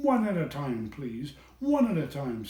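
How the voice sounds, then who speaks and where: A man does a put-on character voice with a stern tone at a fairly high pitch. His pitch swings very widely at a moderate pace. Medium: read story. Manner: stern, officious.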